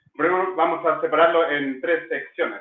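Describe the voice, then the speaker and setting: A man talking at a fairly slow pace. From England. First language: English (speaking Spanish). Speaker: language school director. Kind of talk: online masterclass. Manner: hesitant, many fillers.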